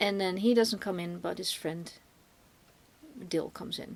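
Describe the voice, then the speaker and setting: A woman with a Dutch accent and ordinary pitch variation. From Netherlands. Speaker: film reviewer, podcast co-host. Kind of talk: casual film review discussion. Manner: halting, many fillers and restarts.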